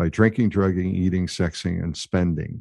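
With an American accent, a man speaks at a very deep, low pitch with ordinary pitch variation and a dark, mellow tone against a quiet background. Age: 60s. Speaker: mindfulness coach and veteran. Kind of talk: interview conversation. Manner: hesitant, filler words.

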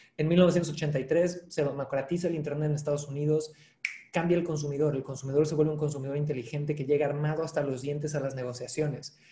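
A man talks at a very fast pace in a fairly high pitch. His intonation stays monotone and flat. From Mexico (Cancún). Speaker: sales trainer and author. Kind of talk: casual interview.

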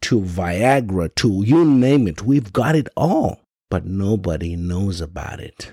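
This man speaks in an African accent at a very slow pace. His pitch swings very widely. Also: very clean recording, silent background. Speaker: podcast host. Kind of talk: monologue commentary. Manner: animated.

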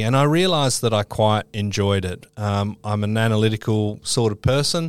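On a very clean recording with a silent background, a man with an Australian accent speaks in a fairly low voice with ordinary pitch variation. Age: 40s. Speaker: quantity surveyor guest.

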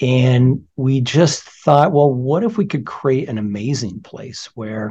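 In a General American accent, a man speaks at medium pitch with a dark, mellow, somewhat breathy tone. The background is quiet. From California. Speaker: surgeon, department chair. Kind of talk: interview.

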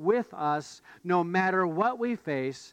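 The text is simply read out. Its pitch rises and falls in a lively way.

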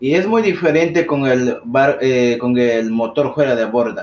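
The pace is very slow as a man talks. His voice sits at a medium pitch. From Ecuadorian Amazon. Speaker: boat captain. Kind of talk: interview. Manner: halting.

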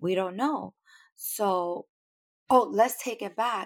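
In a very clean recording with a silent background, a woman speaks fairly slowly at a medium pitch with ordinary pitch variation. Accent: New York. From New York City. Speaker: podcast listener. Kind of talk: interview.

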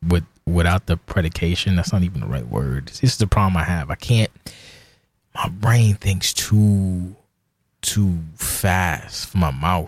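A man speaks with an American accent in a very deep, low pitch. His voice is somewhat breathy, with ordinary pitch variation. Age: 40s. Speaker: podcast host. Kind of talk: casual solo monologue. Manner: sounds slurred, like inebriated.

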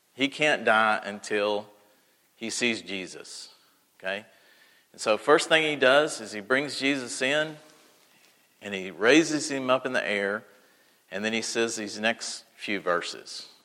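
Bright and sharp in tone, this voice with an American accent moves at a fairly slow pace, with long, frequent pauses. Loudness swings widely, while pitch varies in an ordinary way. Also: man, medium pitch for a man. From Texas. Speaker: preacher. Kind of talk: sermon. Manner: casual, conversational.

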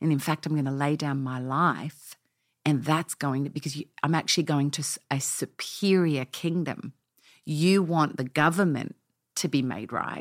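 Recorded very cleanly over a silent background, a woman with an Australian accent speaks at a moderate pace in a very deep, low pitch, her intonation fairly even and the sound dry and close with no echo. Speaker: pastor. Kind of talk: interview.

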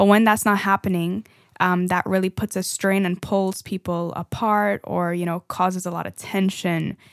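At a moderate pace, a woman with a slight Trinidadian accent speaks at a medium pitch in a monotone, flat intonation. The recording is very clean and dry, close with no echo, and the background is silent. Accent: light Trinidadian. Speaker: podcast co-host. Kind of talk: casual chat.

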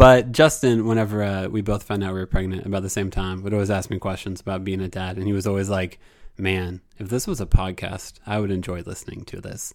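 With an American accent, a man in a normal speaking voice talks fairly quickly at a fairly low pitch, with fairly even intonation, hardly any pauses and big swings in loudness. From Indiana. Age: 30s. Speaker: podcast host, stay-at-home dad. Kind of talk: casual chat.

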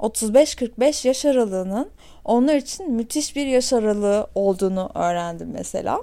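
A woman speaks fairly slowly while her pitch swings very widely. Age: 30s. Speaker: podcast host. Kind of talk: casual monologue.

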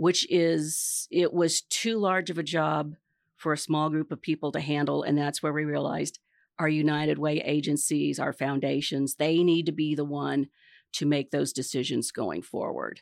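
Speaking at a moderate pace with a Midwestern US accent, a woman with a very deep, low pitch keeps a fairly even intonation on a very clean recording with a silent background and a dry, close sound with no echo. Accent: US Midwest. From Kansas. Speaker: retired marketing executive and nonprofit board member. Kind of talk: interview. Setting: studio.

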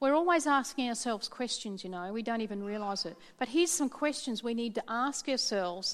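Lively intonation at a fairly quick pace in an Australian accent. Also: woman. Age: 50s. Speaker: pastor. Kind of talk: sermon.

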